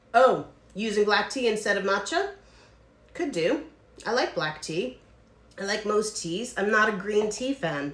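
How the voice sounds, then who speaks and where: A woman's fairly high voice in an American accent, with lively intonation, a fairly slow pace, long and frequent pauses, noticeable background noise and audible room echo. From United States. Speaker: distillery owner hosting cocktail livestream. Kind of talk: casual live stream chat. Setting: home livestream. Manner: rambling.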